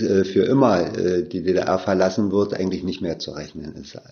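A man's fairly low-pitched voice. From East Berlin. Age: 60s. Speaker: safety engineer, former telegraph office head. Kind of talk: oral history interview. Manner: halting, frequent fillers.

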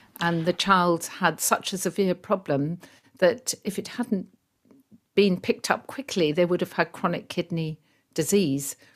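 With a southern English accent, a woman talks at a fairly slow pace and fairly low pitch, with ordinary pitch variation. The recording is very clean, with a silent background. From England, rural Surrey. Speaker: pediatric gastroenterologist. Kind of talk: interview.

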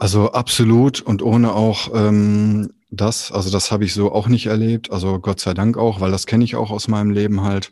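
Speaking at a moderate pace with hardly any pauses, a man keeps to a monotone, flat intonation. His voice is fairly low, with a dark, mellow tone. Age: 40s. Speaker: artist and youth welfare worker. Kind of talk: interview conversation. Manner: hesitant, many filler sounds.

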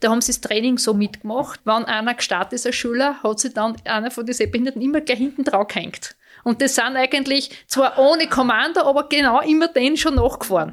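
Over a silent background in a very clean recording, a woman talks at a fairly quick pace with hardly any pauses, her high pitch showing ordinary variation. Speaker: mother of Paralympic skiers, visually impaired. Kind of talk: interview.

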